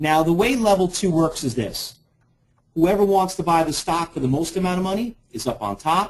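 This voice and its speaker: With a New York accent, a man speaks at a high pitch with lively intonation. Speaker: trading educator. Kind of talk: webinar presentation. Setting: online webinar. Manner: fast.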